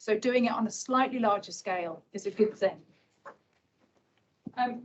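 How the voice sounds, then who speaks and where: A woman speaks quietly. Her pitch is fairly high. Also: ordinary pitch variation, moderate pace. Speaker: civil servant presenting transport policy. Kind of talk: conference talk. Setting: hybrid event with live audience. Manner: quietly spoken.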